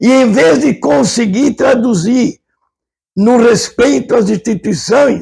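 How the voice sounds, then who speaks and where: Speaking at a fairly slow pace, a man uses an extremely high pitch. His intonation is lively. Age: 80s+. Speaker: retired professor and businessman, interview guest. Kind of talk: interview. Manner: impassioned; halting with stammers.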